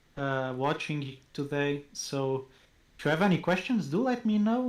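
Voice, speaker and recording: A man with a non-native accent in a very clean recording with a silent background. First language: not English. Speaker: university marketing professor. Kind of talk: casual interview chat.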